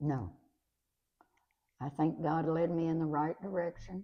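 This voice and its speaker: With a Kentucky accent, a woman speaks in a fairly low voice with fairly even intonation. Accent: rural Kentucky Southern US. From Kentucky, Lincoln County. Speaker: retired schoolteacher. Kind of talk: interview reminiscence. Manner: halting.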